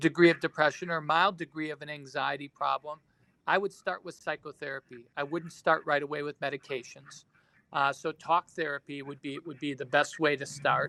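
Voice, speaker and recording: With big swings in loudness, a man speaks in a fairly high pitch and a bright, sharp tone, recorded with a dry, close sound and no echo. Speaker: psychiatry professor. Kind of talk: webinar Q&A. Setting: online webinar. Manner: fast; halting, many fillers.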